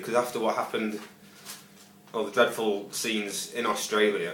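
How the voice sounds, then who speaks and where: A man speaks at a moderate pace with fairly even intonation. Noticeable background noise and audible room echo surround him. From northern England, Stoke-on-Trent. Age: 20s. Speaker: job applicant, bar and front of house worker. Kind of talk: video job application. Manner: halting, many fillers and repetitions.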